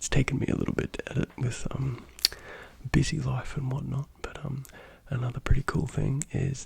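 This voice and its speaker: Over noticeable background noise, the speaker is soft-spoken and talks at a fairly quick pace. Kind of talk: ASMR; casual vlog narration.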